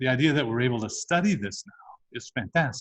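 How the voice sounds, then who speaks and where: A man's normal speaking voice at medium pitch, dry and close with no echo. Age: 60s. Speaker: physician and researcher. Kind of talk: interview.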